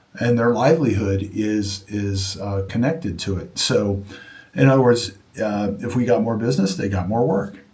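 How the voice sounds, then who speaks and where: Somewhat breathy, the voice shows ordinary pitch variation against audible room echo. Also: man, fairly low pitch for a man, moderate pace. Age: 60s. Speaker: junk removal business owner. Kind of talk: casual vlog monologue. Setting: home studio. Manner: halting, with many fillers and restarts.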